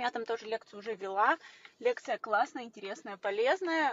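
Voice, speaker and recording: Light background noise is present while a woman talks at a fairly quick pace. Her pitch variation is ordinary, and the sound is dry with no echo. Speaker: blogger. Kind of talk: casual vlog chat. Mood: upbeat, cheerful. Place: car. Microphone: phone near.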